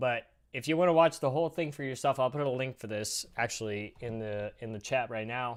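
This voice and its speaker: In a very clean recording with a silent background, a man with an ordinary speaking voice talks at a fairly quick pace, his medium pitch showing ordinary pitch variation. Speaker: livestreamer. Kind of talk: casual chat. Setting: live stream.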